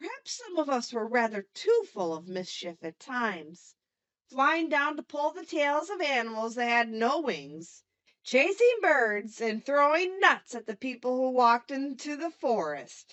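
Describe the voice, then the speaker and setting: A woman talks in a put-on character voice. Her pitch is high. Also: moderate pace. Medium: read story.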